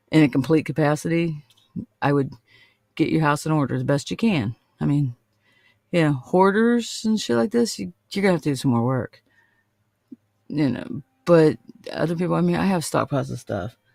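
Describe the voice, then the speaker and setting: On a very clean recording with a silent background and a dry, close sound with no echo, a man speaks at a fairly high pitch with very wide pitch swings and long, frequent pauses. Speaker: witchcraft show host. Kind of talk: casual livestream talk. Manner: fast.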